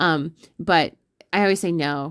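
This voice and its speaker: A woman has an ordinary speaking voice with a fairly low pitch and fairly even intonation. The recording is very clean, with a silent background. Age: 20s. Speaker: podcast host and ultra runner. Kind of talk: casual chat.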